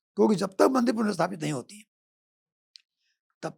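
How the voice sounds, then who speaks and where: This man's voice carries vocal fry and swings very widely in pitch. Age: 70s. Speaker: lawyer. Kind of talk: podcast interview.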